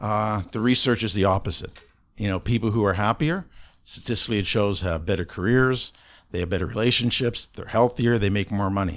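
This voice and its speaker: Fairly low in pitch, a man with a plain, everyday voice talks at a fairly quick pace with ordinary pitch variation on a very clean recording with a silent background. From Canada. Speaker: ADHD coach. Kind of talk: interview conversation.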